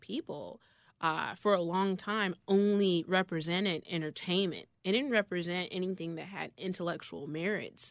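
A woman with an American accent speaks at a moderate pace in a medium pitch, with ordinary pitch variation. It is a plain, everyday voice, heard against a quiet background. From Chicago South Side. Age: 30s. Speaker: gaming influencer. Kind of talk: interview. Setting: studio.

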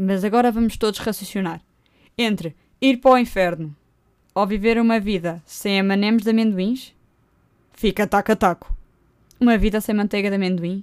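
Speaking at a moderate pace, a woman with a European Portuguese accent holds a medium pitch with ordinary pitch variation. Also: very clean recording, silent background. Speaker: podcaster. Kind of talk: casual monologue. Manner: animated.

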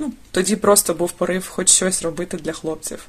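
Her voice is somewhat breathy. The woman keeps her intonation fairly even. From Dnipro, Ukraine. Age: 30s. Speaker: volunteer. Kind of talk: recorded testimony.

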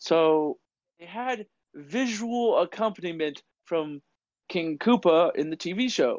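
A man with a high pitch speaks very slowly, leaving long, frequent pauses while his intonation stays lively. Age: 20s. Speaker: podcast co-host. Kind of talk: casual chat.

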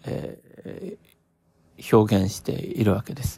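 The sound is dry and close, with no echo. A man speaks in a dark, mellow tone with ordinary pitch variation. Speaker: podcaster. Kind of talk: solo reflective monologue. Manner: frequent fillers and hesitations; slow, thoughtful.

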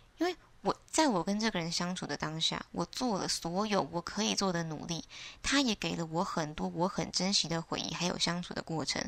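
An ordinary speaking voice at a moderate pace. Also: woman. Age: 20s. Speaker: podcaster. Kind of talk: solo reflective monologue.

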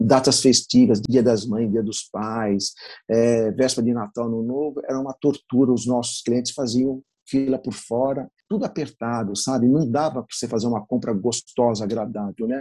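Dark and mellow in tone, a man's voice sits at medium pitch with fairly even intonation. He keeps a moderate pace in a dry, close sound with no echo. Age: 50s. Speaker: bakery owner. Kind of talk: interview.

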